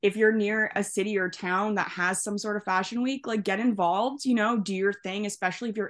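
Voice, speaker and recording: A woman with a Canadian accent and an unremarkable speaking voice talks at a fairly quick pace and medium pitch, with fairly even intonation over a quiet background. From Canada. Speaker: hair stylist. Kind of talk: casual chat.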